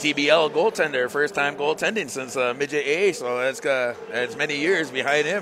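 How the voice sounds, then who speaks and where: Against noticeable background noise, a man with an American accent speaks at a moderate pace with ordinary pitch variation. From Seneca Nation, New York. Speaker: lacrosse color commentator, radio broadcaster. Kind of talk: live sports commentary. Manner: loud. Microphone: initially too far from mic.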